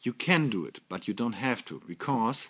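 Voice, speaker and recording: In a very clean recording with a silent background, a man with a German accent speaks fairly slowly at a medium pitch with lively intonation. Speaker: toy company representative. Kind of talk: product presentation. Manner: halting.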